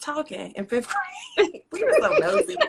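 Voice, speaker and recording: A woman talks with a Southern US accent. Her pitch swings very widely. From North Carolina, US South (moved from Roanoke, Virginia at 14). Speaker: poet and author. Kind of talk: interview.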